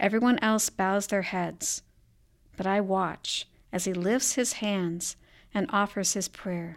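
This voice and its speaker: A woman with an American accent talks at a very slow pace, her pitch medium and her intonation fairly even. The recording is very clean with a silent background. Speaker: writer. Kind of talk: reading aloud. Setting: studio.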